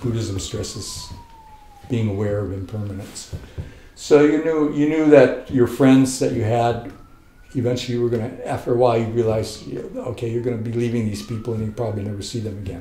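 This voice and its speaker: Speaking at a moderate pace in a relaxed tone, a man with an American accent keeps his intonation fairly even, with audible room echo and noticeable background noise. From US South, military family moving around. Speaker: flamenco guitarist. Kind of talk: biographical interview. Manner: relaxed, reflective with fillers.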